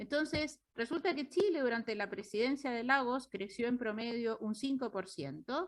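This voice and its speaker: Using a strong Uruguayan accent, a high-pitched woman talks at a moderate pace with lively intonation and hardly any pauses. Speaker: economist. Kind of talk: lecture. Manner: halting.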